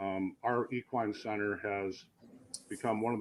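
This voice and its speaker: Keeping a moderate pace, a man with a fairly low pitch speaks in a monotone, flat intonation. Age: 60s. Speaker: fairgrounds general manager. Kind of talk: interview.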